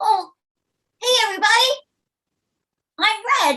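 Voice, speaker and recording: In a put-on character voice, the speaker talks at a moderate pace and an extremely high pitch. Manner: bouncy, cheerful.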